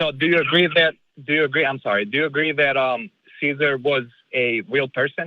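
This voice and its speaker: A man in an Eastern European accent speaks at a fairly quick pace. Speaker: caller. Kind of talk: call-in debate.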